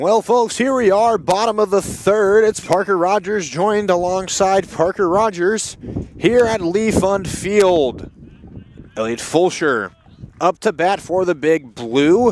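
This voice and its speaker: A man with an American accent speaks high at a fairly slow pace, with ordinary pitch variation over noticeable background noise. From US South, Louisiana. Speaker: college baseball play-by-play announcer. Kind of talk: live sports commentary. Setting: outdoors at ballpark.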